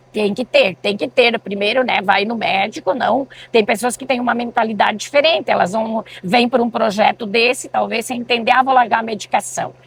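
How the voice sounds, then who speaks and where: Noticeable background noise sits behind a woman with a fairly high pitch and ordinary pitch variation. She keeps a moderate pace with hardly any pauses. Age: 60s. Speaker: community medicinal garden volunteer. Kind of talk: interview.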